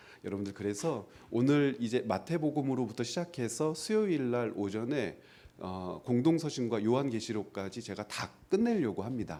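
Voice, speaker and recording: Lively intonation runs through a man's dark, mellow tone. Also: medium pitch for a man, moderate pace. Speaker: Bible seminar lecturer. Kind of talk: lecture. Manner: conversational, humorous; speeds up when talking.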